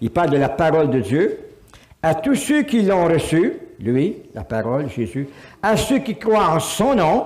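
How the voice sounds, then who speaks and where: A fairly high-pitched man at a very slow pace, with very wide pitch swings and audible room echo. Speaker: pastor. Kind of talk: sermon. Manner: animated.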